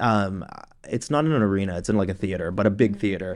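A man with an unremarkable speaking voice at a fairly quick pace. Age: 30s. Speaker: professional touring drummer. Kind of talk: casual interview chat.

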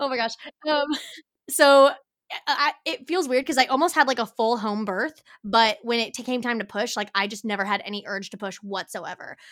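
Recorded very cleanly against a silent background, a woman with an American accent speaks in an animated tone at a moderate pace, her fairly high pitch showing ordinary variation. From Kansas. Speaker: photographer and mother. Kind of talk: casual chat.

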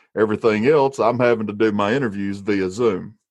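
A man speaks at a moderate speed with quiet surroundings. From Alabama. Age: 30s. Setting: back porch, recording at home.

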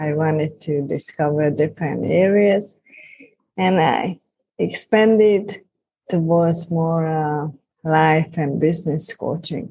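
A somewhat breathy woman's voice, very deep and low in pitch, at a very slow pace, with a Hungarian accent. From Hungary. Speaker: life and business coach. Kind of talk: interview.

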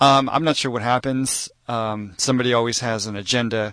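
A man's ordinary speaking voice with an American accent, medium in pitch with ordinary pitch variation, at a fairly quick pace, in a dry, close sound with no echo and a quiet background. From Texas. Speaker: muralist and street artist. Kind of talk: radio interview. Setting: radio studio.

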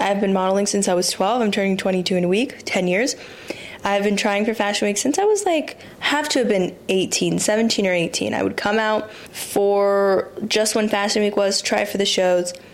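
A woman speaks at a moderate pace and medium pitch, her intonation fairly even and her loudness very even. Noticeable background noise is present. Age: 20s. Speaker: podcast host and model. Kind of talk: casual solo monologue. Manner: rambling, conversational.

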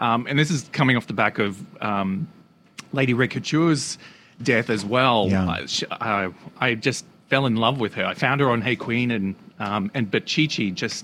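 This man speaks at a medium pitch and a moderate pace, with an Australian accent. His pitch varies in an ordinary way. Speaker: guest co-host. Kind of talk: casual comedic chat.

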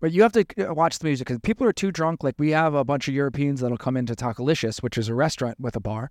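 On a very clean recording with a silent background and a dry, close sound with no echo, a man with an American accent and a fairly high pitch talks at a very fast pace with lively intonation and hardly any pauses. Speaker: bartender and podcast host. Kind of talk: casual chat podcast. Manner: jokey, playful.

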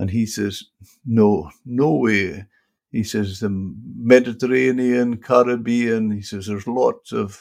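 In a Scottish accent, a man speaks at a very slow pace. His pitch varies in an ordinary way. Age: 70s. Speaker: podcast host. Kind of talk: interview.

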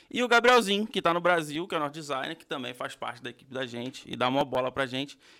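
Talking very fast with hardly any pauses, a man with a fairly high pitch and a bright, sharp tone makes very wide pitch swings and big swings in loudness. The recording is very clean with a silent background. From Brazil, Rio de Janeiro. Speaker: podcast host. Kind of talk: casual chat. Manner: energetic.

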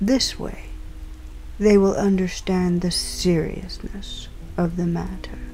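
A woman speaks at a very slow pace in a menacing tone, with long, frequent pauses and noticeable background noise. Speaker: crime boss character in audio drama. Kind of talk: noir detective audio drama, scripted villain dialogue. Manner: formal, imperious, coolly menacing; measured, polished, old-fashioned diction.

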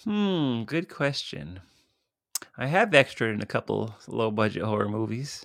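An ordinary speaking voice from a man at a medium pitch, fairly slow in pace, with lively intonation. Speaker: podcast host and horror filmmaker. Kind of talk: casual chat. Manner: jokey, laughs often.

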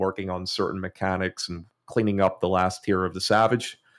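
A man with an Irish accent speaks at a fairly quick pace in a very deep, low voice with flat, monotone intonation, on a very clean recording with a silent background. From Ireland. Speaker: gaming content creator. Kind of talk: casual chat.

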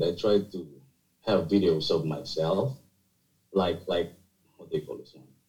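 Speaking with a Filipino accent, a man with a fairly low, somewhat breathy voice moves at a moderate pace with lively intonation, big swings in loudness, and long, frequent pauses. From Philippines (Bicol region). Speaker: architect and university teacher. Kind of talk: casual interview chat. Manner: halting, with fillers and repetitions.

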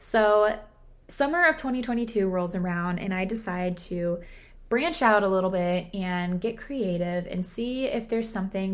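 A woman speaks at a medium pitch and a moderate pace, with ordinary pitch variation. Audible room echo surrounds her voice. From Southern California. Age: 20s. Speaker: podcast host and marketing agency founder. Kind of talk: solo podcast monologue. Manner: animated.

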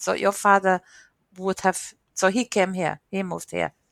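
Recorded dry and close with no echo against a silent background, a woman of medium pitch speaks with a strong Hungarian accent. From Hungary, Miskolc. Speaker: program manager. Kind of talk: interview.

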